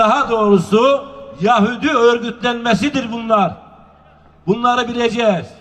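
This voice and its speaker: A man's extremely high-pitched voice at a fairly slow pace, fairly even in intonation, over noticeable background noise. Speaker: public speaker at a nomad culture festival. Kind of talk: public speech. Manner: rousing, oratorical.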